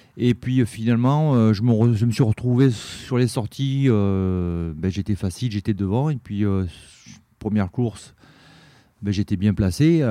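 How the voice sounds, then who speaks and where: At a fairly slow pace with long, frequent pauses, a man talks at a fairly low pitch in a dark, mellow tone, with ordinary pitch variation, against a quiet background. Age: 50s. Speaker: former gendarme, race organizer. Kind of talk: casual interview. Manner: halting, repeats words.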